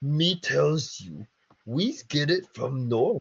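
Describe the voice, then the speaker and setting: Putting on a character voice, a man speaks at a fairly high pitch and a very slow pace. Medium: read story. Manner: broken simple speech.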